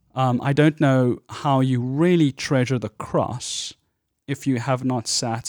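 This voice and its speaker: In a South African accent, a man talks at a medium pitch. The recording is very clean with a silent background, dry and close with no echo. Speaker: pastor. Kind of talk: casual interview conversation.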